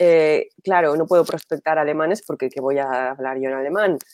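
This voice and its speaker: A woman with a very deep, low pitch speaks at a fairly slow pace in an animated tone, with ordinary pitch variation. The sound is dry and close, with no echo. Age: 40s. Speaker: entrepreneur and business strategist. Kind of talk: interview.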